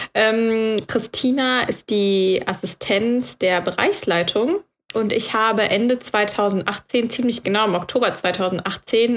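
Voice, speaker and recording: A woman is talking here. She has a fairly high pitch. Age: 30s. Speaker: podcast co-host, trainee yoga teacher. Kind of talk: casual chat.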